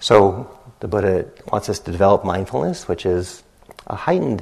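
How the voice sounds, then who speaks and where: Noticeable background noise sits behind a man speaking at a fairly quick pace. His pitch is fairly low. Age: 50s. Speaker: meditation teacher. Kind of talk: dharma talk. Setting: retreat center meditation hall.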